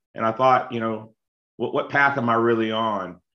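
An ordinary speaking voice from a man with an American accent, medium pitch, fairly even intonation and a fairly quick pace. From South Carolina (Lexington). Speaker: local city official. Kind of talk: casual interview.

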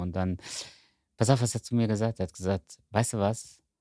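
In a very clean recording with a silent background and a dry, close sound with no echo, a man with a normal speaking voice talks fairly quickly at a fairly low pitch with fairly even intonation. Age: 50s. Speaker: rector of a Bible seminary. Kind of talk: casual chat.

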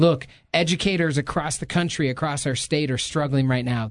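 Fairly even intonation in a man's normal speaking voice, pitched fairly high. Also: quiet background. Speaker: podcast host. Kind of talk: podcast intro and interview. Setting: podcast booth.

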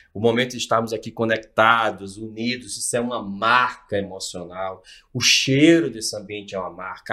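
A man's bright, sharp tone at a moderate pace with hardly any pauses and big swings in loudness, on a very clean recording with a silent background. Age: 50s. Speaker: NLP and hypnosis expert, executive mentor. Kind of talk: casual interview. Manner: animated.

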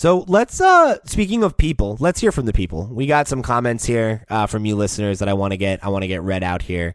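This is an ordinary speaking voice with lively intonation. The recording is very clean, with a silent background. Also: man. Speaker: podcast host. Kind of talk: casual chat. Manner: casual, jokey.

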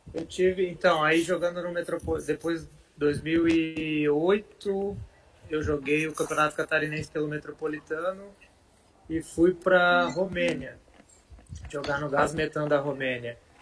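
A man with a fairly high pitch talks at a fairly slow pace, with long, frequent pauses and fairly even intonation. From Santa Catarina, Brazil (Rio do Sul area). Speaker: former professional footballer (defender). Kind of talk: interview.

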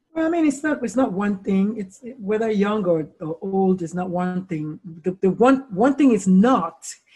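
A woman speaks at a moderate pace with lively intonation. Her tone is dark and mellow, and somewhat breathy. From Nigeria. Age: 50s. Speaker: pediatrician and suicide-prevention speaker. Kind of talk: interview.

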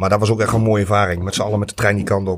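The man's voice is fairly low. He talks very fast. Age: 30s. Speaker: football supporter. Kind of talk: casual interview.

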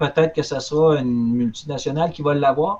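A man in a Quebec accent with ordinary pitch variation. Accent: Québécois French. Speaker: collectibles retailer. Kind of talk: casual chat.

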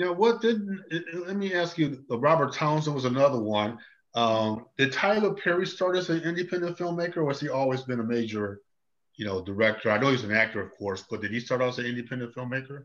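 A medium-pitched man with an American accent, fairly quick pace and very wide pitch swings, against a quiet background. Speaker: talk show host. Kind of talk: interview, casual chat. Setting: Facebook Live video. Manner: friendly, conversational.

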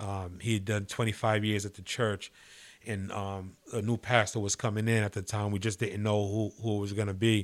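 A man with an American accent speaks in a flat monotone at a moderate pace and a fairly low pitch. The recording is very clean with a silent background. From New York City (Manhattan). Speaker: pastor. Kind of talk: interview testimony.

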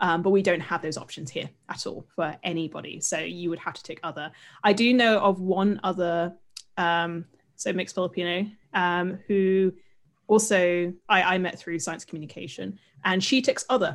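A woman speaks at a moderate pace with a British accent. Her pitch is fairly low, with ordinary variation. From UK. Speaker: science communicator. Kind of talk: casual chat. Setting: video call.

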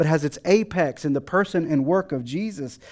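With an American accent, a man speaks at a moderate pace in a dark, mellow tone with ordinary pitch variation, on a very clean recording with a silent background. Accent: slight Texan, comes and goes. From Texas. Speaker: guest preacher. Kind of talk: sermon. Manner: hesitant, many fillers and restarts.

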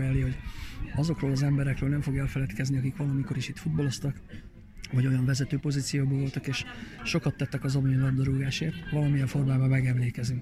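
Talking at a very fast pace, a man of medium pitch keeps a fairly even intonation over noticeable background noise. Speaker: event organizer, amateur footballer. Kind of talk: interview.

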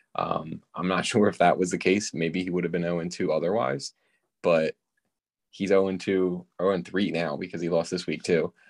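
A man's very deep, low voice with fairly even intonation, against a quiet background. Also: moderate pace. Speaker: fantasy football co-host. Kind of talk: casual chat.

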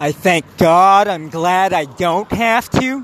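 A man with a high voice and ordinary pitch variation is heard over noticeable background noise. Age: 30s. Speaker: solo podcaster. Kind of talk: rambling monologue. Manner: halting; laughs often.

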